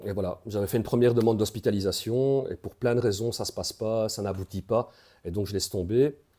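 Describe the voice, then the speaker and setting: A dark, mellow tone carries fairly even intonation at a fairly quick pace. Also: man, medium pitch for a man. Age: 40s. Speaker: peer support worker, recovering addict. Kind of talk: interview testimony. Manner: hesitant, many fillers.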